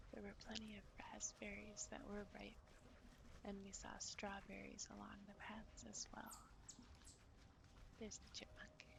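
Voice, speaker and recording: Whispering in an American accent, the speaker uses a gentle, relaxed tone. The pace is fairly slow, with long, frequent pauses. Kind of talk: ASMR outdoor walk narration, casual talk to camera. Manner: soft, gentle, relaxed.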